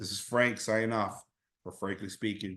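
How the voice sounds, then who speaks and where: The pace is moderate. A man talks, his pitch moving in an ordinary way. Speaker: podcast host. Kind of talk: opinion monologue. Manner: loud; passionate, yelling at times.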